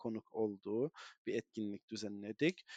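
A man speaks at a medium pitch in a dry, close sound with no echo. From northern Cyprus (Güzelyurt/Morphou). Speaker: activist and parliamentary aide. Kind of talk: interview. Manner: halting, many fillers.

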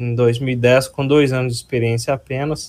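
Speaking at a fairly slow pace, a man talks with a Minas Gerais accent. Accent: mineiro. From Minas Gerais, Brazil (Ipatinga region). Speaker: structural engineer and lecturer. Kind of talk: interview.

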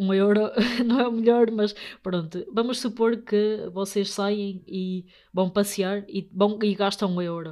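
Very slow and fairly even in intonation, a woman speaks in a dark, mellow tone. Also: medium pitch for a woman. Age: 20s. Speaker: podcast host, young investor. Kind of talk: solo podcast monologue. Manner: halting, many fillers.

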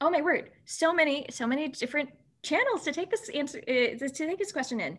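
A woman's high voice, fairly quick in pace, with lively intonation. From Southeast Asia, mainly Philippines. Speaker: software engineer. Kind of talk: interview.

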